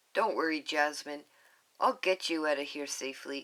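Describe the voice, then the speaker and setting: Doing a put-on character voice, a woman speaks at a moderate pace in a very deep, low, raspy register. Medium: read story.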